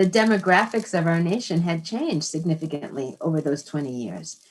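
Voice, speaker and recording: In an American accent, an unremarkable speaking voice keeps a moderate pace and lively intonation. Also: woman. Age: 60s. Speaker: author and psychologist. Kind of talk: interview conversation. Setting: live broadcast.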